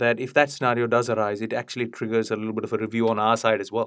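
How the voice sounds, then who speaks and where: Speech comes at a very fast pace from a man with a medium pitch. His intonation is monotone and flat. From India. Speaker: fundamental investment head, portfolio manager. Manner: hesitant, filler-heavy.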